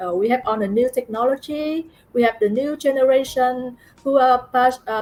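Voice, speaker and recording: With a Vietnamese accent, a woman speaks at a high pitch and a fairly quick pace. Her pitch rises and falls in an ordinary way. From Vietnam, Ho Chi Minh City. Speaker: international student. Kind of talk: interview. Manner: halting.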